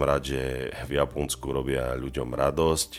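Over music in the background, a man with a very deep, low voice speaks at a fairly slow pace in a monotone, flat way. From Slovakia. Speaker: musician podcaster. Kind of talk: solo podcast monologue. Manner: casual.

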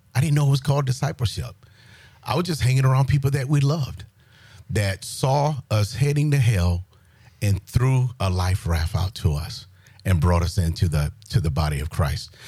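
A man's dark, mellow, somewhat breathy voice in a South Carolina accent, medium in pitch, at a moderate pace with very wide pitch swings. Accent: Southern US (South Carolina). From US South, rural South Carolina. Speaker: military retiree sharing faith testimony. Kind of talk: testimony.

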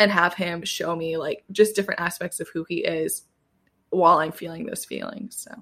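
This woman has a plain, everyday voice with fairly low pitch, talking at a moderate pace with fairly even intonation and big swings in loudness. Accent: American. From US Midwest, Southwest Michigan. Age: 20s. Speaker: podcast host, guest on another podcast. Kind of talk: casual chat.

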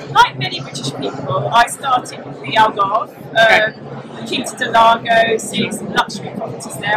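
Noticeable noise fills the background. Over it, a woman speaks at a moderate pace. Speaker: property journalist. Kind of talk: casual interview. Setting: live at a property show. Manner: halting.

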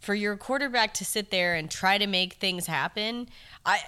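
A woman with a medium-pitched voice speaks at a moderate pace. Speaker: sports podcast co-host. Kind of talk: casual sports chat.

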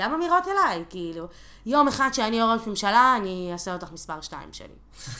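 At a fairly quick pace, the voice shows big swings in loudness and very wide pitch swings. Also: woman, fairly high pitch for a woman. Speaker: activist. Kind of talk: casual chat.

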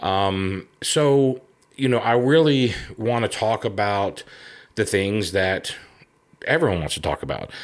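Relaxed in tone, a man with a fairly low pitch and ordinary pitch variation speaks at a fairly slow pace with long, frequent pauses in a very clean recording with a silent background. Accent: Southern US. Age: 50s. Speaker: podcast host and outdoor TV show host. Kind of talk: solo introductory monologue. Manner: relaxed, many filler ums.

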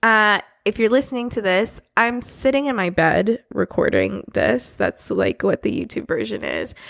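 Dry and close with no echo, a woman speaks at a moderate pace with hardly any pauses on a very clean recording with a silent background. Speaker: podcast host. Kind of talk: casual monologue. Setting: home, recording on bed. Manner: casual, filler-heavy.

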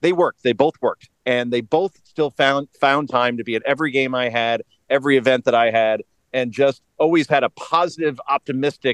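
A man with a New York-New Jersey accent talks with fairly even intonation in a dry, close sound with no echo. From northern New Jersey. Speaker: political commentator. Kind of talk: interview.

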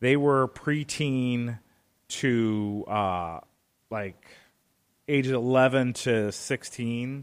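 Speaking at a very slow pace, a man leaves long, frequent pauses and shows ordinary pitch variation. The recording is very clean, with a silent background. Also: medium pitch for a man. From Northwest Indiana, near Chicago. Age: 40s. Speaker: broadcasting operations director and stunt performer. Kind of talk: radio interview.

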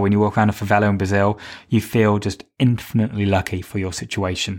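In a British accent, a man with a fairly low pitch talks at a very fast pace on a very clean recording with a silent background. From Britain. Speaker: podcast host and fitness instructor. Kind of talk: solo podcast monologue with practical tips. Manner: conversational.

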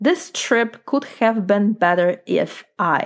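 A woman of medium pitch speaks at a very slow pace on a very clean recording with a silent background. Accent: Polish. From Poland. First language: Polish. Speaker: life coach. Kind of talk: solo podcast monologue.

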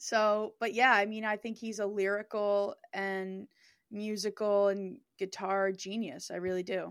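The woman's voice sits at medium pitch, and her intonation is monotone and flat. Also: fairly slow pace, very clean recording, silent background. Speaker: songwriter and music producer. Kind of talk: casual chat.

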